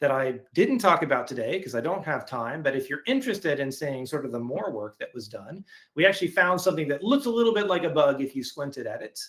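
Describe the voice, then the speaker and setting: Talking at a fairly quick pace, a man uses a fairly high pitch with very wide pitch swings. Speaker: software verification engineer presenting webinar. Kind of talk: webinar presentation with live coding. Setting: online webinar. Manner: fast.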